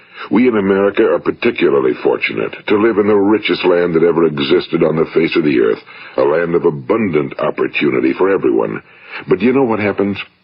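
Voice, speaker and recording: Noticeable noise sits under the recording. Over it, a man talks very fast. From United States. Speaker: radio broadcaster and motivational speaker. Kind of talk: motivational spoken-word recording.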